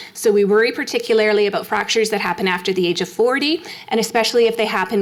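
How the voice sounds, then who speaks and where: A woman's medium-pitched voice with a Canadian accent, very fast pace, ordinary pitch variation, and noticeable background noise. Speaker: endocrinologist giving a health talk. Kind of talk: public health lecture. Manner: animated.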